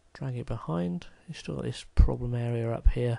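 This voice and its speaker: A man talks with a British accent. His pace is fairly quick. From Britain. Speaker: video editing hobbyist. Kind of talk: tutorial. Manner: casual, hesitant with fillers.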